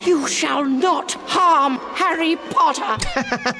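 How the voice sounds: This squeaky, put-on character voice is high in pitch and moves at a very slow pace.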